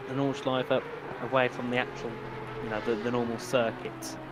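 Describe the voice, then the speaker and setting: A man of medium pitch talks fairly quickly while noticeable background noise carries on. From UK. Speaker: sim racing commentator. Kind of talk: live commentary. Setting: live stream. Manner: casual, chatty.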